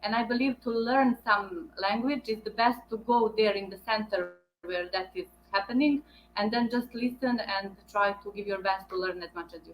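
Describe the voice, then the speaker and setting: Her loudness swinging widely, a woman speaks at a moderate pace with a fairly high pitch and ordinary pitch variation. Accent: Bosnian. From Bosnia. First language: Bosnian. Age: 30s. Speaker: veterinarian. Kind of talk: interview. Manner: halting.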